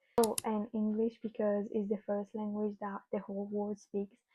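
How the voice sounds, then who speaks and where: Somewhat breathy and fairly high in pitch, a woman speaks at a moderate pace with monotone, flat intonation. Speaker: student vlogger. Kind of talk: casual explainer vlog. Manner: halting, with fillers.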